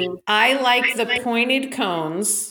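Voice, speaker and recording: At a fairly slow pace, a woman with a normal speaking voice talks with lively intonation. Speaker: podcast co-host. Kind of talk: casual chat.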